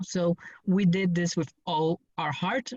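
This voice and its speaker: The speaker has a Spanish accent and talks at a fairly slow pace. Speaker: student member representative. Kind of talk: virtual town hall discussion. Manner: halting.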